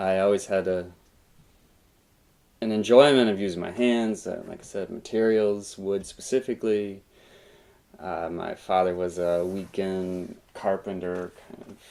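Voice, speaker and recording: A man with an American accent talks at a very deep, low pitch. His pace is fairly slow and his intonation fairly even. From rural Kentucky, US. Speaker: print artist and educator. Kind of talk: interview. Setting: artist's studio.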